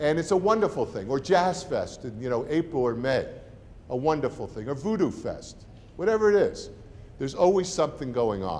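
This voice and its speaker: Speaking at a fairly quick pace with a New Jersey accent, a man uses a high pitch and very wide pitch swings. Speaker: university president. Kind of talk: welcome talk to prospective students and parents. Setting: room with live audience. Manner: conversational, informal.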